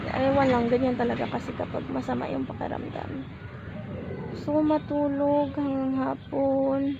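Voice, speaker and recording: A woman speaks fairly slowly, with audible room echo and noticeable background noise in the recording. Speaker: vlogger and street food vendor. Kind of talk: casual vlog talk. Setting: outdoors by the roadside.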